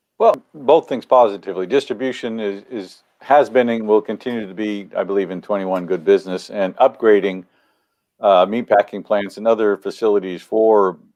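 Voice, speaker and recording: A man talks at a moderate pace in a plain, everyday voice. His pitch varies in an ordinary way, while his loudness swings widely. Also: fairly low pitch for a man, quiet background. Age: 60s. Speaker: economist. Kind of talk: interview answers.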